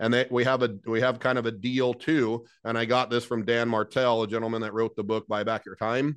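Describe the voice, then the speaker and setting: A man with an American accent, medium pitch and an energetic tone, talking at a fairly quick pace with hardly any pauses, over a quiet background. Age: 40s. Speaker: HVAC business owner and business coach. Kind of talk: interview.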